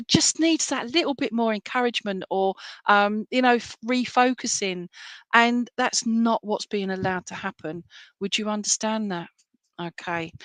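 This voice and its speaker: Woman with an English accent, fairly high pitch and ordinary pitch variation at a fairly slow pace, in a dry, close sound with no echo and a quiet background. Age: 50s. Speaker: psychic medium. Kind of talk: live reading to online viewers. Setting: live stream. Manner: hesitant, many fillers.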